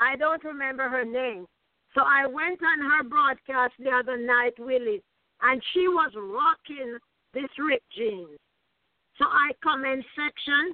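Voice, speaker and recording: A woman speaks in an animated, passionate tone, her high voice showing ordinary pitch variation. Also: fairly slow pace. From Jamaica. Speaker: author and coach. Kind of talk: motivational interview. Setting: video call.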